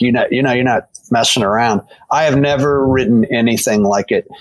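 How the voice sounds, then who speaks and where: In a dry, close sound with no echo, a man with a normal speaking voice talks at a moderate pace and a medium pitch. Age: 60s. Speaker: pastor. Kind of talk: casual chat.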